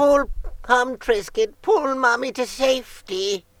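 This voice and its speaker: The voice is a put-on character with a fairly high pitch. It moves at a fairly slow pace. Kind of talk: comedic. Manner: goofy, silly.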